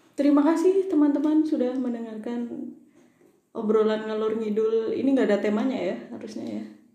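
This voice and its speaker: A woman with a high pitch talks at a fairly quick pace. Audible room echo surrounds her voice. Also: ordinary pitch variation. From Java, mountain area. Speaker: podcast co-host. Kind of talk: casual chat. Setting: recording at night. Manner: laughs often.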